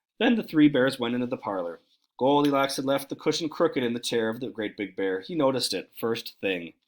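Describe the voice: This is plain reading aloud with a quiet background.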